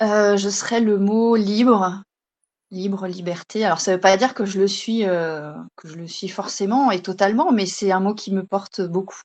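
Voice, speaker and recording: A woman with an ordinary speaking voice at medium pitch, fairly slow and fairly even in intonation, against a quiet background. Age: 30s. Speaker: stay-at-home mother and naturopathy trainee. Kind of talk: interview.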